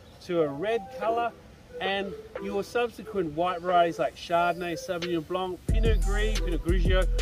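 A man talks at a moderate pace in a dry sound with no echo, with clear music in the background. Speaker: winery tour guide. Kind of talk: guided tour explanation. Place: open country. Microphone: camera far.

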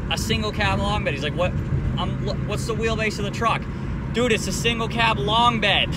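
Loud background noise surrounds a man talking at a moderate pace in a dry sound with no echo. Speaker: car channel vlogger. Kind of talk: casual vlog chat. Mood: annoyed, amused storytelling.

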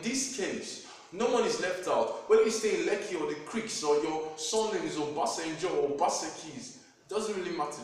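There's strong room echo around this man, who speaks at a moderate pace. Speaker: spoken word poet. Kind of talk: spoken word poetry performance. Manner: motivational. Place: home room. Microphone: camera far.

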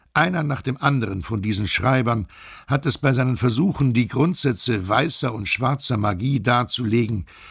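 At a moderate pace and medium pitch, a man speaks somewhat breathily with ordinary pitch variation on a very clean recording with a silent background. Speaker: voice actor. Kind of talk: audiobook narration.

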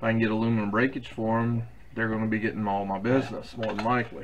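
A man speaks with fairly even intonation. There is light background noise. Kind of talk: tutorial. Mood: relaxed, chatty. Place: workshop.

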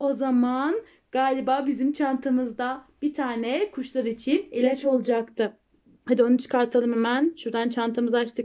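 Speaking at a moderate pace, a woman has a high pitch, a dark, mellow tone and fairly even intonation.

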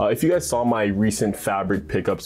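The delivery comes at a fairly quick pace. It belongs to a man. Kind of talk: casual vlog chat. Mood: relaxed, upbeat. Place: home room. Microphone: lapel.

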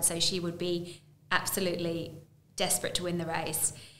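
A woman speaks with a fairly low pitch. There's audible room echo and light background noise. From England. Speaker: horse racing broadcaster; podcast guest. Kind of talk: interview. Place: studio.

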